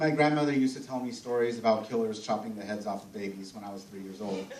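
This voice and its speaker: A man with an American accent at a medium pitch, amid audible room echo. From US, Mexican American family. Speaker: film festival panel moderator. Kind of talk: live panel talk with anecdote. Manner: halting, many fillers and restarts.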